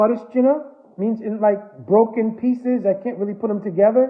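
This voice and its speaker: A man speaks in a high pitch with an American accent. His intonation stays fairly even. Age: 70s. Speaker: spiritual teacher. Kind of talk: religious discourse.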